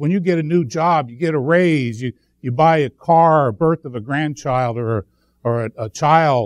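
The speaker is a man. His sound is dry with no echo, over a quiet background. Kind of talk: sermon. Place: church.

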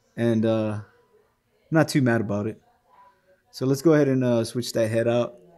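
Faint music plays behind a man who speaks with fairly even intonation. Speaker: toy reviewer. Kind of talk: casual review chat. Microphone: phone near.

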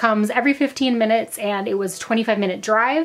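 The woman's pitch varies in an ordinary way. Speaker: travel vlogger. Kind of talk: casual vlog chat. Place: home room. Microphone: phone near.

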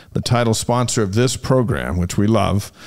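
Medium pitch and lively intonation from a man at a moderate pace, over a quiet background. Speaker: sports show host. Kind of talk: interview. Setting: studio. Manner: enthusiastic. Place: studio. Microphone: studio mic.

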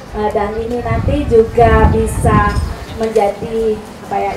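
Noticeable background noise sits behind a woman as she speaks. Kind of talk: formal opening speech. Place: street.

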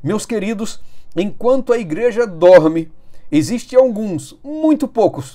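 A man talks at a fairly slow pace with very wide pitch swings. The background is quiet. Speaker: Adventist preacher. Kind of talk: sermon-style news commentary. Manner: fervent, exhortative; solemn, urgent. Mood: earnest, urgent. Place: home room. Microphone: phone near.

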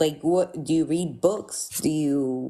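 A woman's fairly low-pitched voice with a dark, mellow tone and ordinary pitch variation. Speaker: caller; livestream host. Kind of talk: debate. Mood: questioning, challenging. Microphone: studio mic.

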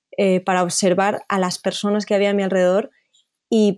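A woman speaks at a medium pitch with a dark, mellow tone and a moderate pace. The recording is very clean with a silent background. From Spain (Zaragoza). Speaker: photojournalist. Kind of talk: interview. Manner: halting.

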